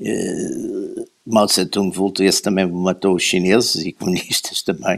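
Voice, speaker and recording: A man speaks at a fairly slow pace with hardly any pauses. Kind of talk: history discussion.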